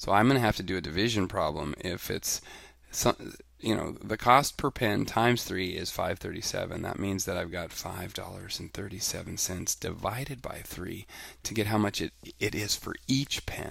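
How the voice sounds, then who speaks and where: Over a silent background in a very clean recording, a man speaks at a fairly low pitch with ordinary pitch variation. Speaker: elementary school teacher. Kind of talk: tutorial. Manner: fast.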